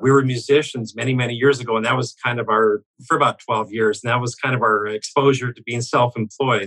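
Dry and close with no echo, a man's medium-pitched voice has a bright, sharp tone and monotone, flat intonation as he moves at a fairly quick pace with hardly any pauses. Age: 60s. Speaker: business owner. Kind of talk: interview.

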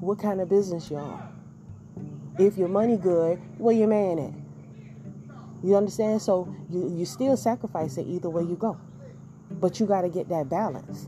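Music plays in the background as a woman with a medium pitch speaks in an animated tone. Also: ordinary pitch variation, moderate pace. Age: 40s. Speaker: podcast host. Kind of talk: casual monologue.

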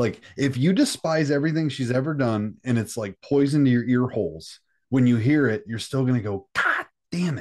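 A plain, everyday voice from a man at a moderate pace with ordinary pitch variation, on a very clean recording with a silent background. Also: medium pitch for a man. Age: 30s. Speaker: metal musician. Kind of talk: casual chat.

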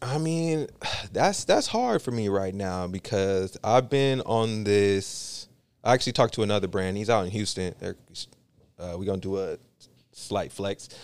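On a very clean recording with a silent background, a man with an American accent and an unremarkable speaking voice talks at a moderate pace in a fairly low pitch with ordinary pitch variation. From San Francisco Bay Area, California. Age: 30s. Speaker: clothing brand founder. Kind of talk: casual chat.

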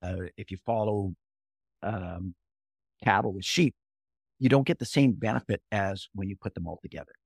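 A man speaks with an American accent and ordinary pitch variation, the recording very clean and the background silent. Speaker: rancher and author.

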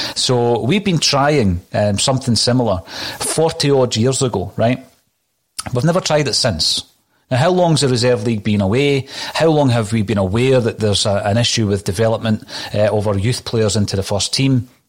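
With a Scottish accent, a man speaks at a moderate pace and keeps his loudness very even. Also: medium pitch for a man, ordinary pitch variation. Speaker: podcast host. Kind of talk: casual football chat.

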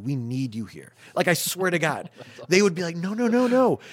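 A man with an American accent talks at a moderate pace in a fairly high pitch with very wide pitch swings. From Syracuse, New York. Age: 40s. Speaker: restaurant owner. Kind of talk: casual chat.

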